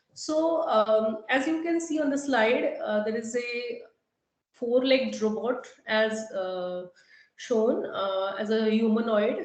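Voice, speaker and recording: Audible room echo fills this recording of a woman with a fairly high pitch. She talks at a very slow pace with lively intonation. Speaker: faculty trainer on AI syllabus. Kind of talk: lecture. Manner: halting, many fillers.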